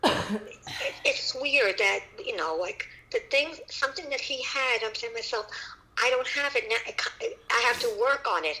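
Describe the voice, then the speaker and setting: A woman talks at a moderate pace in a high, raised, projected voice with very wide pitch swings. Noticeable background noise runs underneath. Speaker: caller, host's mother. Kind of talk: casual chat.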